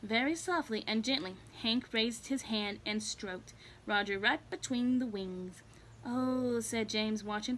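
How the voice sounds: The speaker reads in a natural reading voice.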